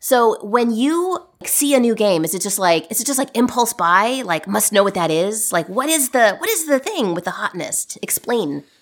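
A woman's fairly high voice with very wide pitch swings and hardly any pauses. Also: moderate pace. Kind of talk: casual chat. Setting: remote call recorded in early morning.

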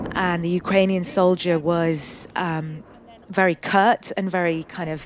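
Using an ordinary speaking voice, a woman talks at a medium pitch with fairly even intonation. She speaks at a fairly slow pace. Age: 40s. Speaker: war correspondent. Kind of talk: interview. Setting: remote interview from a war zone.

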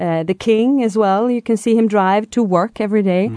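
The speaker has a Swedish accent. The background is quiet. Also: woman. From Sweden, Stockholm. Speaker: language and culture expert. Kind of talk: interview.

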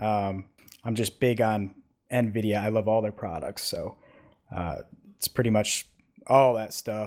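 Delivered at a fairly slow pace with an American accent, the speech keeps a fairly even intonation and breaks often into long pauses. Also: man, fairly low pitch for a man. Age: 30s. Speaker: sim racing driver. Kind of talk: interview.

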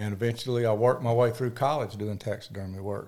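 A man speaks at a very fast pace with a Mississippi accent. His voice is medium in pitch with a dark, mellow tone. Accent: Southern US (Mississippi). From US South, Mississippi (Picayune). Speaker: wildlife biologist and land broker. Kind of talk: casual interview chat.

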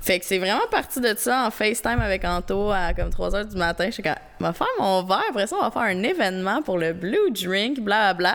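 A woman keeps up a fairly quick pace, hardly pausing at all, while noticeable background noise sits behind her. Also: medium pitch for a woman, ordinary pitch variation. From Quebec. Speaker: YouTuber. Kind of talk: casual chat.

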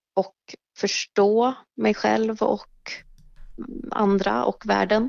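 A woman speaking at a very slow pace. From Mariestad, western Sweden. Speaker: writer and dancer. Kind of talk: casual interview. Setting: phone call.

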